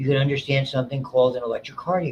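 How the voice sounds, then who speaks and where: A man speaks in a fairly high pitch with fairly even intonation. He has an American accent. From New York City area. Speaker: college biology instructor. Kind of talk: lecture. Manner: fast.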